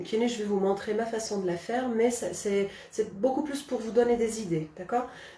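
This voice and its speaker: With a Kabyle accent, a woman speaks at fairly high pitch with ordinary pitch variation. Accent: Kabyle village. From Algeria, Kabylie. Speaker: cooking channel host. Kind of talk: live cooking demonstration. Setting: Facebook live stream. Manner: hesitant, many fillers.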